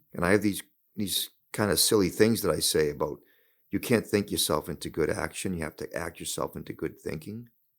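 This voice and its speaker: A fairly quick-paced man with a Boston accent on a very clean recording with a silent background. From Boston area, US. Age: 60s. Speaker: hockey head coach. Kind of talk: interview conversation. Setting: studio.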